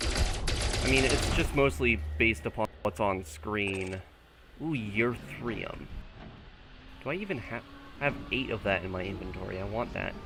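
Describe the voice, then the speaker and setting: The quiet voice has lively intonation and long, frequent pauses, with noticeable background noise behind it. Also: man, fairly low pitch for a man, fairly slow pace. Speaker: gaming streamer. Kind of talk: casual chat. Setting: live stream. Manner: soft-spoken.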